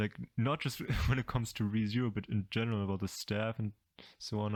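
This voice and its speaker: The recording is very clean with a silent background, carrying a man's medium pitch and ordinary pitch variation. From Germany. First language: German. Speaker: anime YouTuber. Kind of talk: casual commentary video. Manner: halting, many fillers and repeats.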